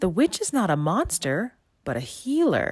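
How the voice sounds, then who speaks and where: A put-on character voice speaks at a middle pitch and a moderate pace. Hissing can be heard. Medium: read story. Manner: sly, persuasive.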